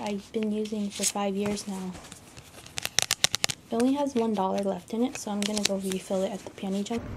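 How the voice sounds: The speaker has an American accent and a slightly mellow tone. The pace is moderate, with faint noise behind. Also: woman.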